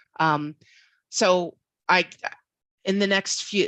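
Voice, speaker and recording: A woman in a Philadelphia accent speaks with fairly even intonation in a dry, close sound with no echo and a quiet background. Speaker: infosec professional, guest speaker. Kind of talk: online talk to students. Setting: video call. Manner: casual, many fillers.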